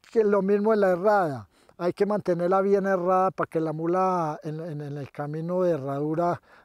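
Recorded with a dry, close sound and no echo, a man speaks at a high pitch with ordinary pitch variation. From Colombian coffee region, Quindío (Salento). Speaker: mule driver. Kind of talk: demonstration interview. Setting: outdoors on a farm. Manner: halting, repetitive.

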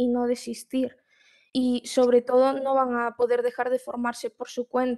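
A woman's high voice with a dark, mellow tone in a Galician accent, monotone and flat at a moderate pace, over a quiet background. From Galicia, Spain (Marín); Galicia, Spain. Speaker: student, program participant. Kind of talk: panel interview. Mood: calm, encouraging advice. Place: home room. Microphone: video call.

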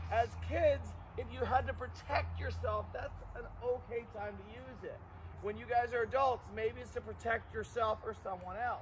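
Big swings in loudness over noticeable background noise. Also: man, moderate pace. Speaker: martial arts instructor. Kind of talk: class instruction to children. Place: open country.

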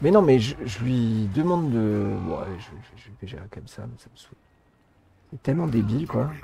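A man's voice with very wide pitch swings and big swings in loudness. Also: medium pitch for a man, moderate pace. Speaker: gaming YouTuber. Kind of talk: casual chat.

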